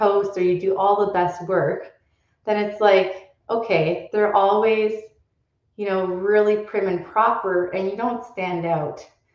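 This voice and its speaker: At a fairly slow pace, a woman with a medium pitch and fairly even intonation speaks over audible room echo. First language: not English. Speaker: well-being coach. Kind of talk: live show monologue. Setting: live stream.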